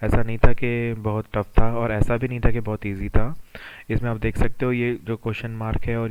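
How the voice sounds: Speaking at a moderate pace, a man has a fairly low pitch and a clear, smooth tone.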